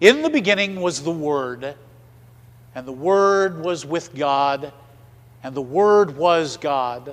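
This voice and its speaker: Using a put-on character voice, a man booms at a fairly high pitch, moving at a fairly slow pace with long, frequent pauses. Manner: resounding, eloquent, solemn.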